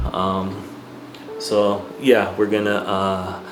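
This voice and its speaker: A man speaks at a fairly low pitch with ordinary pitch variation. The recording has audible room echo and noticeable background noise. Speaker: movie reaction youtuber. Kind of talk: casual reaction video intro. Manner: halting, many fillers; self-described tongue-tied.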